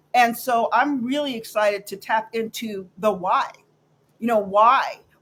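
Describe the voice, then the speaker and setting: A woman's plain, everyday voice with a fairly high pitch, ordinary pitch variation and a fairly slow pace. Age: 50s. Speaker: talk show co-host and producer. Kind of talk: casual chat.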